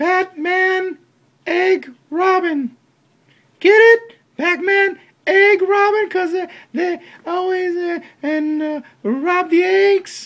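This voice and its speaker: A cartoonish character voice speaks at an extremely high pitch. The pace is very slow, broken by long, frequent pauses. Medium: puppet. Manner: hesitant.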